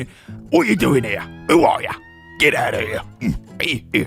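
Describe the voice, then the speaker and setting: A man uses a put-on character voice, gravelly and nasal, at a moderate pace. Clear music sounds in the background. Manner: skittish, jumpy.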